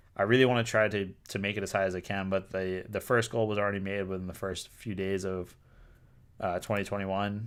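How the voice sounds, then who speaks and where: A man with a Boston accent and a fairly low pitch, fairly quick and monotone with flat intonation, on a very clean recording with a silent background. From Boston, US. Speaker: toy designer and artist streamer. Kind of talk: live stream casual chat. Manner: casual, many filler words.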